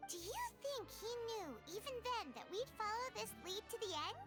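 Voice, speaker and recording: An extremely high-pitched, put-on character voice speaks at a moderate pace. Loud music plays in the background. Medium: video game.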